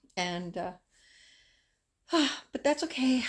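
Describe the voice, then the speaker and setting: Against a quiet background, a woman's somewhat breathy voice carries lively intonation. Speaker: crochet vlogger. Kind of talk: casual vlog chat. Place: home room. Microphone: phone near.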